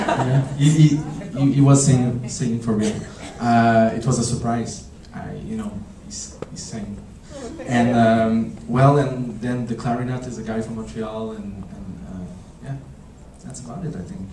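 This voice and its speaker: A man in a Quebec accent at a fairly slow pace and medium pitch, with ordinary pitch variation, long, frequent pauses, and big swings in loudness, amid audible room echo and noticeable background noise. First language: French. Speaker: film director. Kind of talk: festival Q&A. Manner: halting.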